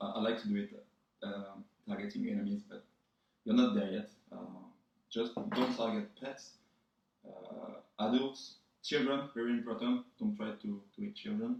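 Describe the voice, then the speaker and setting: A man with a fairly high voice talks at a fairly slow pace, a little breathy, his pitch swinging very widely. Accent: slight French. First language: French. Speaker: vlogger. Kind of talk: tutorial. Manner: casual, joking.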